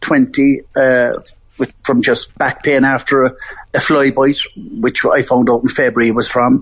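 In an Irish accent, a man speaks at a very slow pace. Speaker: sepsis survivor. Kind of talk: personal testimony.

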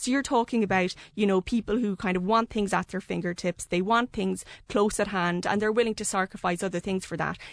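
In a quiet background with a dry, close sound and no echo, a woman with an Irish accent speaks fairly quickly at a medium pitch, her intonation fairly even. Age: young. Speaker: journalist. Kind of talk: radio panel discussion. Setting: studio.

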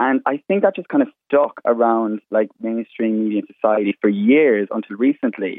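With an Irish Midlands accent, a man speaks at a moderate pace with hardly any pauses. His medium-pitched voice has ordinary pitch variation and big swings in loudness. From Ireland, County Laois (Midlands). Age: 20s. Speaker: makeup artist. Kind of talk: radio interview. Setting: remote call from home.

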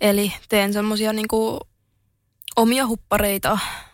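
A woman talks at a very slow pace with a medium pitch. The recording is very clean, with a silent background. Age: 20s. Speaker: social media influencer and entrepreneur. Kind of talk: interview.

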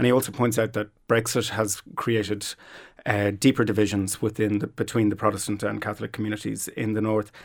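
In a Dublin accent, a man speaks fairly quickly in a fairly low voice with monotone, flat intonation, on a very clean recording with a silent background. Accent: Irish (Dublin). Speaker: social scientist. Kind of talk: panel discussion. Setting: studio.

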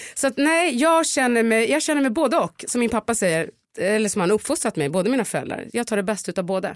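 A woman speaks very fast in a fairly high pitch, her pitch swinging very widely while her loudness stays very even. The recording is very clean with a silent background and a dry, close sound with no echo. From Stockholm area, Sweden (Upplands Väsby). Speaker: podcast host. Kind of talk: casual chat.

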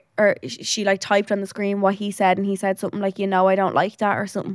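Speaking very fast with an Irish accent, the voice is captured on a very clean recording with a silent background, dry and close with no echo. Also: woman. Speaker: podcast co-host. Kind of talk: casual chat.

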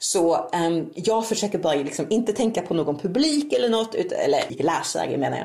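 A woman talks fairly quickly at a medium pitch, with hardly any pauses and very wide pitch swings. Noticeable background noise can be heard. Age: 40s. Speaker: novelist. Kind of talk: interview. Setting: home office, remote call.

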